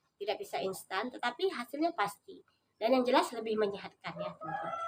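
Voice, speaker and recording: A woman talks at a very fast pace, her pitch swinging very widely. Her voice is somewhat breathy. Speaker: vlogger. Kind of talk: casual vlog tutorial. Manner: hesitant with frequent fillers.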